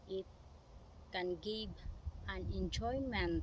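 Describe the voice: A woman's medium-pitched, fairly bright voice at a very slow pace, with ordinary pitch variation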